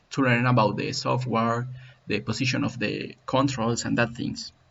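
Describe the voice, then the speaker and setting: Vocal fry runs through this man's medium-pitched voice, delivered with a Spanish accent. His intonation is monotone and flat. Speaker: CAD software tutorial maker. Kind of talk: tutorial. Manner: halting.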